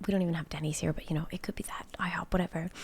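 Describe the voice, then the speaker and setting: A soft-spoken woman whispers in a somewhat breathy voice. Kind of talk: casual talk to camera. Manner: soft-spoken, whispered.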